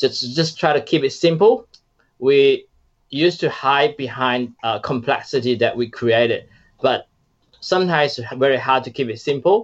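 A man speaks with a Chinese accent at a fairly high pitch. His pitch varies in an ordinary way, and his pace is moderate. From China. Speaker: startup founder. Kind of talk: casual interview.

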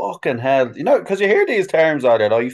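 Against a quiet background, a man speaks with a Dublin accent. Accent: Dublin Irish. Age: 40s. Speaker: sign painter. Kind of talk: casual chat.

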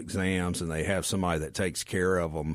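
A fairly quick delivery in a Southern US accent, with ordinary pitch variation, on a very clean recording with a silent background. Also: man. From Mississippi Delta. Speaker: physician. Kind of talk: radio interview. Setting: studio.

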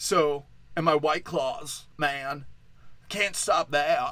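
A man's voice comes through with a bright, sharp tone. His pitch is fairly high. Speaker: podcast host. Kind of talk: casual solo podcast monologue. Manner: animated.

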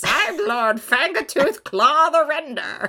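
The voice is a put-on character with a high pitch. Its delivery is fairly slow.

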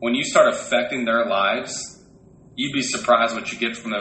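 Noticeable background noise fills the recording. A man talks amid audible room echo. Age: 20s. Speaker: podcast co-host and retail district manager. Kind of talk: casual chat.

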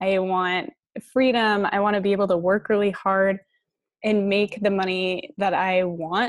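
A woman with an American accent, an ordinary speaking voice, medium pitch and a moderate pace. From Colorado. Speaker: franchise studio owner. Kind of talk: interview.

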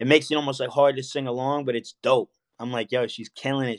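Speech at a fairly quick pace, with a dry, close sound free of echo and a quiet background. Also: man. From New York. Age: 30s. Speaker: rapper. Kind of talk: casual chat.

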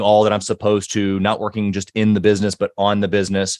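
A man with an American accent talks at a fairly quick pace in a very clean recording with a silent background and a dry, close sound with no echo. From US Midwest, Missouri. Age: 30s. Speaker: entrepreneur. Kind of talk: interview conversation. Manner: animated.

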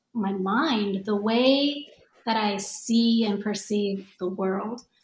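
Somewhat breathy, a woman's voice shows ordinary pitch variation. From Japan, Tokyo area. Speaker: yoga teacher and author. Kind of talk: casual chat.

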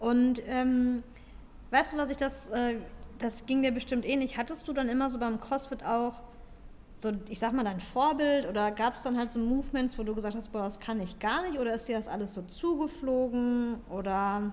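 At a moderate pace, a woman talks in a high voice. Her pitch moves in an ordinary way. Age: 30s. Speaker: fitness podcast co-host, fitness trainer. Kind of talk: casual chat.

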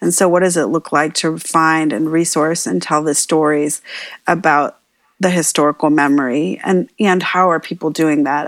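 A woman speaks in a very deep, low pitch with fairly even intonation. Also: very clean recording, silent background. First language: bilingual, Spanish and English. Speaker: trauma therapist and activist. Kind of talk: casual chat.

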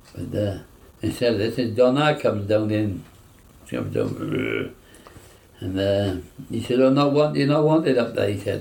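Over audible room echo, a man with a South Wales Valleys accent speaks at a moderate pace and a fairly low pitch, his intonation lively and broken by long, frequent pauses. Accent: Welsh valleys English. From York, raised in south Wales valleys. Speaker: war veteran. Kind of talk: oral history interview. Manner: halting.

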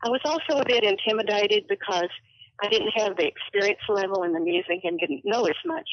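Here is a woman with an unremarkable speaking voice, medium in pitch. She moves at a fairly quick pace with lively intonation. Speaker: longtime orchestra patron.

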